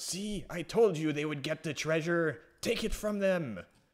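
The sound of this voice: At a moderate pace, a man does a shrill put-on character voice pitched fairly high.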